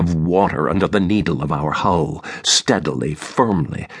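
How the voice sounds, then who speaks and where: Noticeable background noise sits behind this man. He speaks at a fairly slow pace. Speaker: audiobook narrator. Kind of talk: audiobook reading of a literary novel, first-person narration. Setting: studio recording. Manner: measured, reflective, even-paced literary narration.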